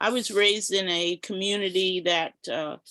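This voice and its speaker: The speaker has an American accent and a bright, sharp tone. The pace is fairly slow, and the sound is dry and close with no echo. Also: woman. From Philadelphia area, US. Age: 70s. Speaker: community elder and former activist. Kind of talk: personal testimony in online book club.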